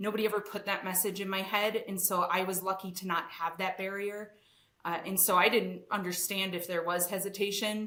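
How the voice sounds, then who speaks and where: A woman's medium-pitched voice with a Wisconsin accent, fairly quick and flat in a monotone. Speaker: engineering executive. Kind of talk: podcast interview. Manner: casual, with many fillers.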